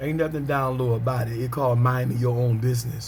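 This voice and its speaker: Audible room echo around a man's mid-range voice, its intonation fairly even. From US South, Pelham, Georgia. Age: 40s. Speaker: preacher. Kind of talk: casual video monologue. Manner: frequent amens and filler ums.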